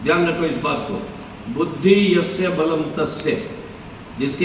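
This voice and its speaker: Noticeable background noise and audible room echo around a man's fairly high voice, its pitch varying in an ordinary way. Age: 70s. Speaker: Vedic preacher teaching students. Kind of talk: religious discourse to students. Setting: hall with student audience, mic. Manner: animated, commanding.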